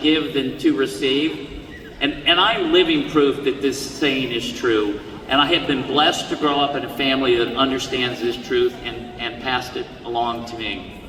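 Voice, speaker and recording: A man with an American accent and ordinary pitch variation, with audible room echo and noticeable background noise. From US. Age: 60s. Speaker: commencement speaker, honorary degree recipient. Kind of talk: commencement speech. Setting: stage with audience. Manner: halting, repeats words.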